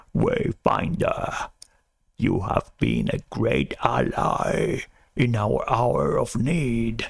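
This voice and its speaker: Putting on a raspy character voice, a man speaks very slowly. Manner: heroic, solemn.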